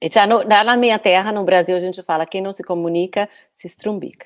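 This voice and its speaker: Talking fairly quickly, a woman with a Brazilian accent uses a medium pitch with ordinary pitch variation. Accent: Brazilian Portuguese, noticeable. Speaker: communication coach, former architect. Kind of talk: casual interview via live stream. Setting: live online video stream. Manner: hesitant, many fillers.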